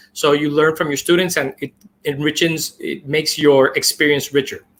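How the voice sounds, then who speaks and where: Speech in a non-native accent proceeds at a moderate pace. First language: not English. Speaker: Google certified trainer, educator. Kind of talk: webinar presentation. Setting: live stream. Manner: halting, with many fillers.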